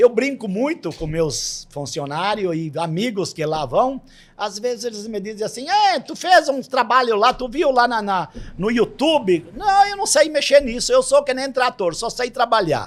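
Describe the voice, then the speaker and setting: In a southern Brazilian accent, a man speaks at a fairly slow pace with an extremely high pitch and very wide pitch swings. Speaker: grape farmer. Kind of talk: podcast interview. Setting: studio. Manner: repetitive, halting.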